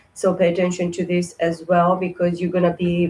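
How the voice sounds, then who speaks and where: A somewhat breathy woman's voice of fairly low pitch at a moderate pace. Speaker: tarot card reader. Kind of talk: tarot reading. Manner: halting, many fillers.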